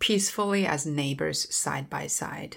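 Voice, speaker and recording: Very deep, low female voice with a Chinese accent, in a very clean recording against a silent background. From Southwest China (Dali, Yunnan). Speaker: travel company founder. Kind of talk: interview.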